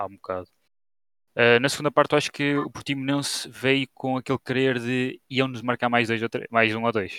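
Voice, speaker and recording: In a very clean recording with a silent background, a man with a bright, sharp tone speaks at a moderate pace and fairly even intonation, the sound dry and close with no echo. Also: medium pitch for a man. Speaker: football commentator. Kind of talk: casual football discussion.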